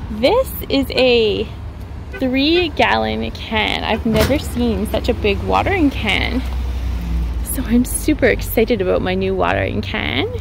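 Against noticeable background noise, a woman speaks at a fairly slow pace, the sound dry with no echo. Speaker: gardening vlogger. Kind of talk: casual vlog chat. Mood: cheerful, excited. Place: street. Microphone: phone near.

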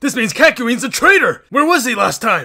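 In a put-on character voice, a man speaks at a moderate pace with an extremely high pitch, big pitch swings, vocal fry and a bright, sharp tone, faint music playing behind him.

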